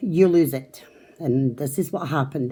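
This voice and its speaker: A woman with a dark, mellow tone speaks at a moderate pace. Her intonation is lively. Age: 70s. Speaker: crafting vlogger. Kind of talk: casual vlog talk. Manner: casual, hesitant with fillers.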